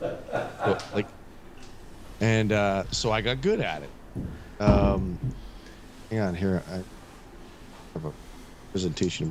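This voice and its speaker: Against noticeable background noise, a man with a fairly low pitch uses ordinary pitch variation. He speaks at a very slow pace, with long, frequent pauses. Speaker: craps shooter and former carnival announcer. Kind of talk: casual chat. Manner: halting, repeating words.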